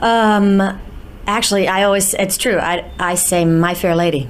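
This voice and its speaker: A woman with an American accent speaks with ordinary pitch variation, amid noticeable background noise and audible room echo. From US, New York. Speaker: musical theatre actress. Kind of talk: interview. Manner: halting, many fillers.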